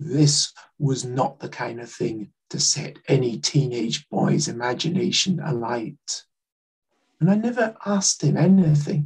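Speaking at a fairly slow pace, a man uses a fairly high, somewhat breathy voice with lively intonation and big swings in loudness. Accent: Scottish. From Scotland, Glasgow. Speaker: writer and Holocaust educator. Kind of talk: talk with slides.

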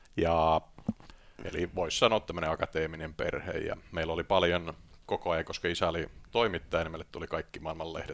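A man is speaking. His pace is moderate. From Finland, Tampere. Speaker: investment banker and author. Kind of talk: podcast interview. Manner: hesitant, many fillers.

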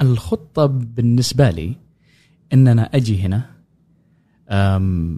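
A very slow man's voice, dark and mellow, somewhat breathy, with long, frequent pauses. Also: medium pitch for a man, ordinary pitch variation. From Yemen, Sanaa. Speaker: oud player and musician. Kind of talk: casual interview.

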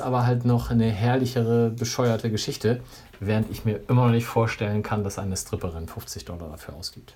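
Somewhat breathy and dark, mellow in tone, the man's voice holds a medium pitch with ordinary pitch variation. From northern Germany. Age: 40s. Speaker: podcast co-host. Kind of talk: casual chat.

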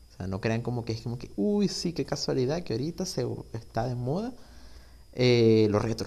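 A man speaks at a moderate pace, somewhat breathy, at a medium pitch. His pitch swings very widely. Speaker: podcast host. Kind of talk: casual solo monologue. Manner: informal, unstructured.

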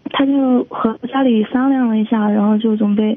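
A woman's high pitch with fairly even intonation against noticeable background noise. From Chongqing, China. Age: 20s. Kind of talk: phone-in call seeking advice. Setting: phone call. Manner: halting.

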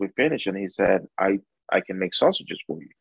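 Ordinary pitch variation from a man speaking with a Spanish accent. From El Salvador, near San Salvador. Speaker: barbecue restaurant owner and pitmaster. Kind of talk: interview.

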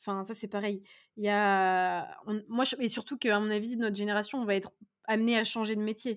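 A woman speaks at a fairly high pitch and a fairly quick pace. Her intonation is flat and monotone, and the recording is very clean with a silent background. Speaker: podcast host, pharmacy student. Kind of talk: casual chat.

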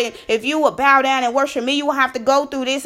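A woman's raised, projected voice, high in pitch, animated and bright, sharp in tone. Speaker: faith podcaster. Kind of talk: devotional sermon-style talk. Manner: animated, excitable.

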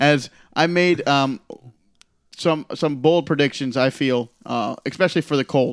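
With an ordinary speaking voice and fairly even intonation, a man talks at a fairly slow pace in a fairly high pitch, in a very clean recording with a silent background and a dry, close sound with no echo. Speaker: fantasy league commissioner. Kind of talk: casual chat.

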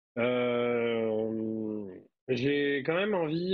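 This is a man speaking at a medium pitch. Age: 30s. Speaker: IT worker, tabletop role-playing player. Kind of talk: tabletop role-playing actual play. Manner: hesitant, many fillers.

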